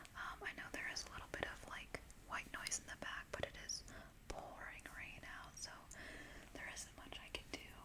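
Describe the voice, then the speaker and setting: A whispered voice with long, frequent pauses. Background noise is noticeable throughout. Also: moderate pace. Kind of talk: ASMR makeup show and tell. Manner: casual, chatty.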